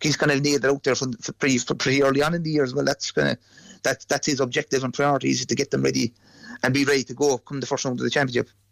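A medium-pitched man at a very fast pace, in a monotone, flat intonation. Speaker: GAA pundit. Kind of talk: sports analysis interview.

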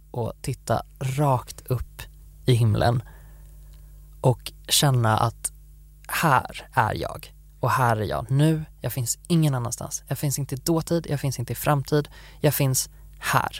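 Background music is playing. The delivery is very slow. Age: 20s. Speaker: podcast co-host. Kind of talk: casual chat.

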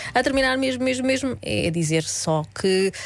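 A woman's medium-pitched voice at a moderate pace, with very wide pitch swings and noticeable background noise. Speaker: radio cultural events contributor. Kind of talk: radio chat with event recommendations.

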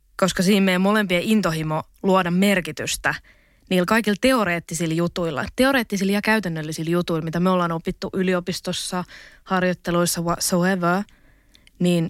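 A woman with a normal speaking voice talks at a moderate pace in a fairly low pitch and fairly even intonation, recorded very cleanly against a silent background with a dry, close sound and no echo. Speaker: university student, podcaster. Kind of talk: casual interview. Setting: studio.

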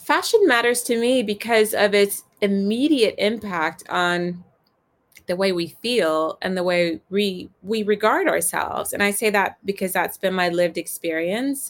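A woman with an American accent speaks in a normal speaking voice at a medium pitch. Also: ordinary pitch variation, fairly slow pace. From US South, Virginia. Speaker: fashion editor and author. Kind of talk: casual interview chat.

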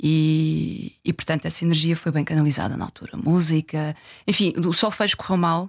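In a very clean recording with a silent background and a dry, close sound with no echo, a woman speaks at a moderate pace with a very deep, low pitch and fairly even intonation. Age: 40s. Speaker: festival communications director. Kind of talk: interview conversation.

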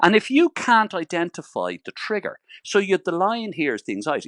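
Over a quiet background, a man with an Irish accent talks at a moderate pace in a dry, close sound with no echo. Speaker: psychotherapist. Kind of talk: radio interview.

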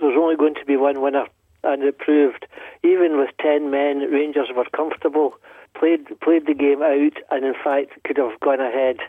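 With a Glaswegian accent, a man speaks at a fairly high pitch. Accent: Glaswegian Scottish. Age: 60s. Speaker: football fan caller. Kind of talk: radio phone-in call. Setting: phone call.

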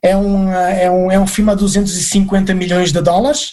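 A man speaks very slowly in a high voice. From Portugal, Aveiro. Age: 40s. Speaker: film extra and actor. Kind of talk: interview. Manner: halting.

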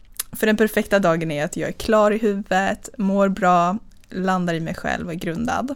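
At a moderate pace, a woman talks in a medium pitch that shows ordinary variation. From Östergötland, Sweden (near Linköping). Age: 20s. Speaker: dating podcast guest, business executive. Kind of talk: casual interview.

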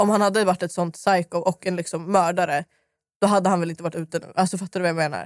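Very fast speech over a quiet background. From Stockholm, Sweden (southern suburbs). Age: 20s. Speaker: guest, YouTuber. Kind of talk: casual chat. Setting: not in the usual studio.

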